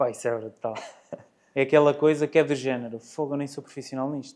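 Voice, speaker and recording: This man's voice sits at a fairly high pitch and carries a dark, mellow tone. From Portugal, Guarda. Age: 30s. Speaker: amateur cyclist and nurse. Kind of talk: casual interview. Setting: studio, in person.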